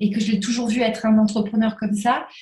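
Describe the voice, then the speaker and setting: A woman speaks at a very fast pace with a fairly high pitch. Her voice is somewhat breathy. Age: 30s. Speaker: entrepreneur in the crafts sector. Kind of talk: interview.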